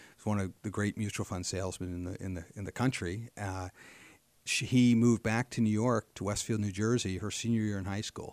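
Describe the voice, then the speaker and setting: In a normal speaking voice, a man with fairly low pitch talks at a fairly quick pace with fairly even intonation, the sound dry and close with no echo and the recording very clean over a silent background. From Pennsylvania, Harrisburg area. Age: 50s. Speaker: state legislator and real estate businessman. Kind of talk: interview conversation. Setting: office.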